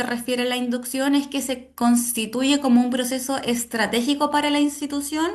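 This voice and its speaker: Spoken at a moderate pace with fairly even intonation, the voice carries audible room echo. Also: woman. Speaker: university lecturer. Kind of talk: online lecture.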